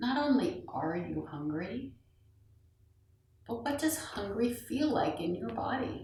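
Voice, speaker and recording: A woman's calm voice, fairly high in pitch, very slow, with very wide pitch swings and long, frequent pauses. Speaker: meditation guide. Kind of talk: guided meditation. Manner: slow, calm.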